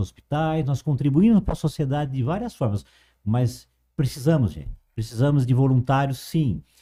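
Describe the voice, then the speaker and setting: At a moderate pace, the voice sounds somewhat breathy with a dark, mellow tone on a very clean recording with a silent background. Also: man. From interior of São Paulo state, Brazil. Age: 50s. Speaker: cultural association director. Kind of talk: interview.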